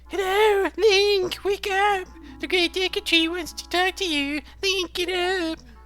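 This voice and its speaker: In a put-on character voice, the speaker goes at a fairly slow pace with an extremely high pitch. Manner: silly, urgent, nagging.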